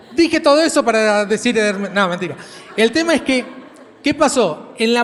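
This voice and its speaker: The speaker's pitch varies in an ordinary way over noticeable background noise. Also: man. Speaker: preacher. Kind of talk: sermon.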